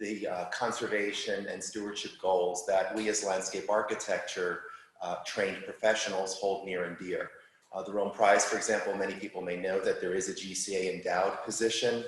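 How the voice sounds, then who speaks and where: With a New York accent, a man talks at a fairly quick pace in a fairly low, monotone, flat voice, with audible room echo and noticeable background noise. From New York City. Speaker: landscape architect. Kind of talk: lecture. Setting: live talk with audience, also streamed on Zoom.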